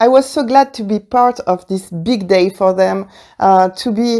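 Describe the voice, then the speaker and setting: A woman's dark, mellow voice in a strong French accent, at a fairly slow pace with ordinary pitch variation. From France. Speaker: wedding podcaster. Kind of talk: casual podcast monologue. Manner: hesitant, many fillers.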